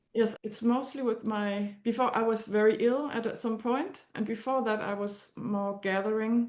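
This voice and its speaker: In a Danish accent, a woman with a fairly high pitch speaks at a moderate pace, with fairly even intonation and hardly any pauses. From Denmark. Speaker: astrology client. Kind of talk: consultation conversation. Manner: halting.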